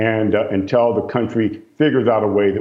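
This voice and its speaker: In an ordinary speaking voice, a man talks at a fairly quick pace and a fairly low pitch. His intonation stays fairly even. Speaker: real estate executive. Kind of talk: interview. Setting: video call.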